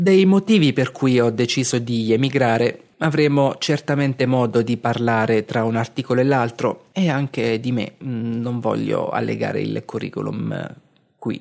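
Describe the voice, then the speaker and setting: Against a quiet background, a man with an unremarkable speaking voice talks at a fairly slow pace, medium in pitch with ordinary pitch variation. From Abruzzo, Italy (Castel di Sangro). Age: 30s. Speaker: podcast host and blogger. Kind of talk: reading aloud a blog article.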